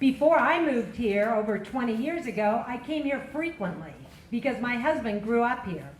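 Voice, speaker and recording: Here a woman talks at a moderate pace. Audible room echo and noticeable background noise are present. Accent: American. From Kern County, California. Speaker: county supervisor candidate. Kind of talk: candidate forum opening statement. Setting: public forum with audience. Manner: loud.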